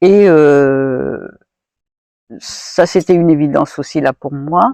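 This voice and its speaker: Recorded with a dry, close sound and no echo, a woman speaks in a very deep, low pitch with a dark, mellow tone. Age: 70s. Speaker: retired feminist activist and volunteer. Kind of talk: interview answer.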